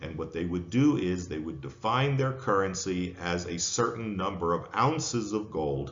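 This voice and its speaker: With an American accent, a man speaks in a very deep, low voice at a moderate pace. His intonation is lively, and there is audible room echo. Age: 60s. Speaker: professor. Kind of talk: lecture.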